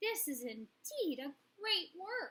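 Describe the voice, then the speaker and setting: A woman puts on a squeaky character voice, extremely high in pitch with very wide pitch swings. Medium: read story.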